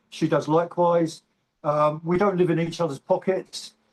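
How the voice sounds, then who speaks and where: A man speaks with an English accent at a moderate pace, his pitch high and its variation ordinary. The sound is dry and close, with no echo. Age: 60s. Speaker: bodybuilder and navy veteran. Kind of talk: interview. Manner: halting.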